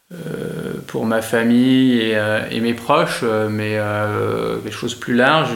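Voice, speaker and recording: There is audible room echo as a man talks at a very slow pace with fairly even intonation. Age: 40s. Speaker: entrepreneur. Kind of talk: interview. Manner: hesitant, many fillers.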